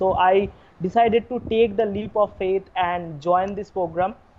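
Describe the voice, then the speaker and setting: Against noticeable background noise, a woman speaks at a moderate pace with medium pitch and fairly even intonation. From India. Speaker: course member giving testimonial. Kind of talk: testimony. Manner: halting.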